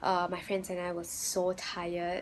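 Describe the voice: This woman has a fairly low pitch. Her intonation is monotone and flat, and her pace is fairly slow.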